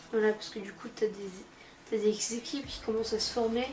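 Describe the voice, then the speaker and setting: The woman's pitch is fairly high. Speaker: comic book youtuber. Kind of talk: casual vlog review. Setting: sitting on a couch at home. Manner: fast; hesitant, many fillers.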